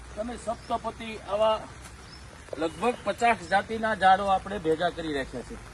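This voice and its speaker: A man speaks at a high pitch with ordinary pitch variation and big swings in loudness. Noticeable background noise can be heard. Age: 60s. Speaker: tree planter and farm owner. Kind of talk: public appeal on video.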